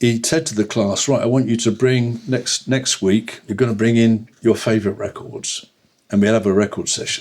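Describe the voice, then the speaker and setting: A man with a London accent speaks at a moderate pace, his medium pitch showing ordinary variation. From London, England. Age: 80s+. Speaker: jazz bassist. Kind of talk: interview. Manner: halting.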